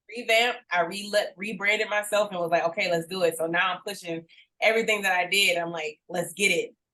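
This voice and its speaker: Speaking at a fairly quick pace with an American accent, a woman at medium pitch keeps fairly even intonation in a bright, sharp tone. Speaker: musician. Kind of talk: interview. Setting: podcast.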